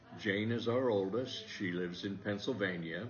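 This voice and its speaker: In an American accent, a man speaks at a fairly slow pace in a fairly low voice with fairly even intonation, with audible room echo. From US Midwest, southwestern Iowa. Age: 80s+. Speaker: retired teacher. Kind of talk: interview.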